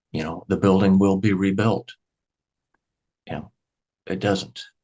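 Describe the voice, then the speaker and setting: A man with an American accent speaks in a very deep, low pitch. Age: 60s. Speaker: grocery store owner. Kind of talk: interview conversation.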